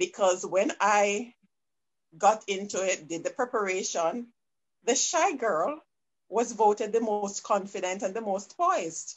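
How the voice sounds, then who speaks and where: Speaking fairly slowly with a Jamaican accent, a woman uses lively intonation at a medium pitch. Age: 40s. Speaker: business consultant. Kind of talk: interview conversation. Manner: soft-spoken.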